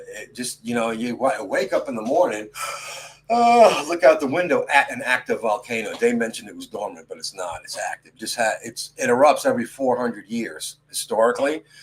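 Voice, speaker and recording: At a moderate pace, a man talks with a New York accent. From New York City. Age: 60s. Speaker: podcast host. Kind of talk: casual chat. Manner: animated.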